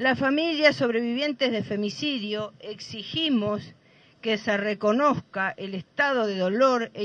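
A woman's unremarkable speaking voice, pitched fairly high. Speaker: mother of a femicide victim, activist. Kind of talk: protest speech; reading a statement aloud. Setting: outdoors at a plaza rally.

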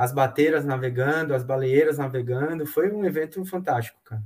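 The voice belongs to a man and has a somewhat breathy quality. He keeps a fairly slow pace. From Bahia, Brazil (Salvador). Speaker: sailor and boat builder. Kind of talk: casual chat. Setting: live video stream.

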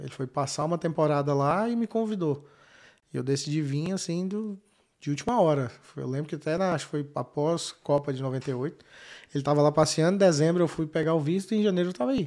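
Speaking at a fairly quick pace, a man has a fairly high pitch with ordinary pitch variation. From Brazil, Goiânia. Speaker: businessman and knife maker. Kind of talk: casual interview.

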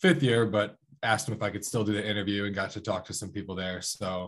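An American accent over a quiet background. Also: man. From Columbus, Ohio. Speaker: college wrestler. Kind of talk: casual chat.

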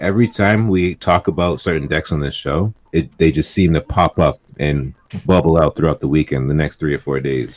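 A man speaks in a very deep, low voice with vocal fry and hardly any pauses. His pitch varies in an ordinary way, and the sound is dry and close with no echo. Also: moderate pace. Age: 30s. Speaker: podcast co-host. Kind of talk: casual chat.

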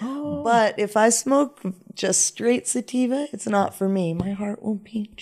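With an American accent, a woman talks at a fairly slow pace in an ordinary speaking voice, her medium pitch showing ordinary variation. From US, raised partly in Jamaica. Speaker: reggae artist. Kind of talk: casual chat.

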